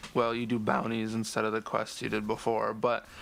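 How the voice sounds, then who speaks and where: Speaking at a moderate pace, a man delivers his words in a monotone, flat intonation. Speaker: gaming commentator. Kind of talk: game discussion commentary.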